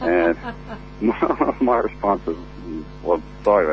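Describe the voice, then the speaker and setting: The speaker has an American accent. Noticeable background noise runs under the voice. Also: man. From United States, small country town. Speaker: country singer. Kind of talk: radio interview. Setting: phone call. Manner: halting, many fillers.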